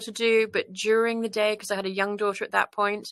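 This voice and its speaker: Against a quiet background, a woman with a British accent speaks in a bright, sharp tone. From international upbringing, born in UK. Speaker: business leader, incoming service club governor. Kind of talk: interview. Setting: studio.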